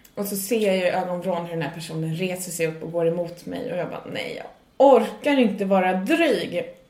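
Amid audible room echo and noticeable background noise, the voice moves at a moderate pace with ordinary pitch variation. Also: woman. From Sweden. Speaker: stand-up comedian and podcast co-host. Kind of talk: casual chat.

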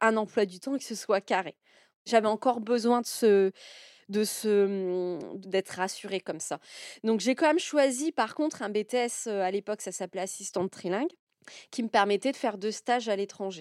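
Recorded very cleanly against a silent background, with a dry, close sound and no echo, a woman speaks fairly slowly at a fairly high pitch with ordinary pitch variation. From northeastern France, near Reims. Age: 40s. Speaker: self-employed woman sharing her life story. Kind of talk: personal testimony. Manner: hesitant, many fillers.

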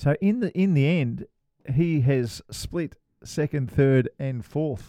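At a very slow pace, a voice with an Australian accent carries a dark, mellow tone and lively intonation. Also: man, fairly high pitch for a man. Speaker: podcast co-host, former professional golfer. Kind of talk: casual chat.

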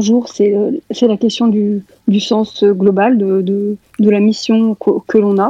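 Her fairly high voice stays flat and monotone, and a woman keeps her loudness very even throughout. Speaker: guest speaker. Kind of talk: group discussion.

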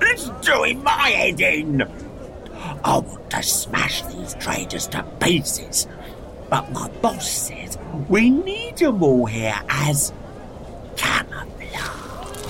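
The speech moves at a very slow pace with long, frequent pauses. Loud background noise runs underneath. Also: man. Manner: gruff, exasperated ranting.

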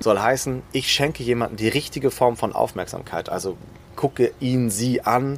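A man's medium-pitched voice at a moderate pace, ordinary pitch variation, noticeable background noise. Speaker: executive coach. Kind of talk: interview. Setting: outdoors in a garden.

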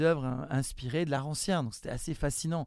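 Fairly high pitch from a man, with a typical range of pitch movement. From southern France (Nice, Marseille area). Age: 40s. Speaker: art school director and street art gallery founder. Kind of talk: interview. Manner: halting, with frequent repetitions.

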